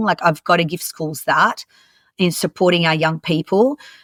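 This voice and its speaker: A woman with an Australian accent speaks at a moderate pace, fairly low in pitch, with fairly even intonation, on a very clean recording with a silent background and a dry, close sound with no echo. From Lebanon, moved to Australia at 10. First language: French and Arabic. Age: 40s. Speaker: youth mentor and coach trainer. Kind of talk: podcast interview.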